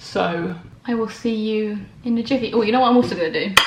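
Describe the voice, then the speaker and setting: With audible room echo and noticeable background noise, a woman speaks at a moderate pace in a fairly high pitch. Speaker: vegan lifestyle vlogger. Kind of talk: casual vlog. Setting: at home, in bed.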